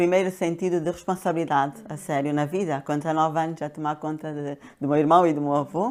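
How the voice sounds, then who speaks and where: Very clean and silent in the background, this recording features a woman. Her voice is very deep and low, with fairly even intonation. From Angola (Luanda). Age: 60s. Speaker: pharmacist and coach. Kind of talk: interview. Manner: hesitant, many fillers.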